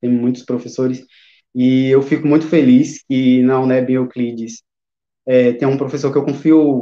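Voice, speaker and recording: Fairly slow and monotone, a man speaks with flat intonation at a fairly high pitch. His tone is dark and mellow. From Bahia, Brazil. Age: 30s. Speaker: teacher and literature researcher. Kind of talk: interview on a live stream. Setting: online live stream.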